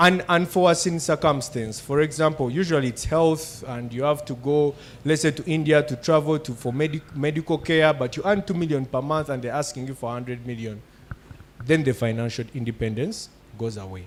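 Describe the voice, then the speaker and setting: A man with an ordinary speaking voice and fairly high pitch talks at a fairly quick pace with ordinary pitch variation. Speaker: financial literacy panelist. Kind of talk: talk on personal finance.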